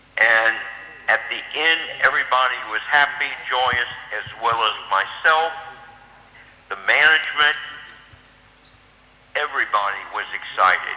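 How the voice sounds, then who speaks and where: With noticeable background noise, a man speaks at a fairly slow pace and leaves long, frequent pauses. His pitch sits fairly high, with ordinary variation. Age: 70s. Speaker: former training program manager. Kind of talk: tribute speech.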